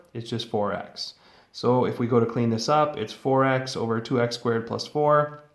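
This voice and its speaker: Audible room echo surrounds this recording. A man speaks at medium pitch with fairly even intonation. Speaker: high school math teacher. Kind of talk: lecture. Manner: fast.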